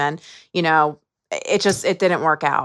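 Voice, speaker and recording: A woman talks with a fairly low pitch. The background is quiet. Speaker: founder of addiction outreach nonprofit. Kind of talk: interview. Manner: halting, with repetitions.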